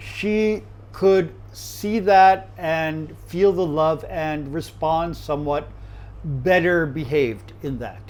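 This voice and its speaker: This man speaks with an American accent. His pitch sits fairly high. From USA. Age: 60s. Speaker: chef. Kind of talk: interview. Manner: halting.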